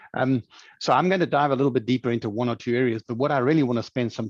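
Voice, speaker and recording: Talking at a very fast pace with fairly even intonation, a man with a South African accent comes through in a dry, close sound with no echo. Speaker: leadership programme director, former chief executive. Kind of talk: webinar presentation. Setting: online webinar.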